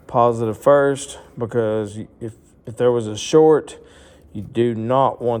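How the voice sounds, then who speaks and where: A man speaks at a fairly slow pace with noticeable background noise. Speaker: motorsports YouTuber doing mechanic work. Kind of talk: tutorial.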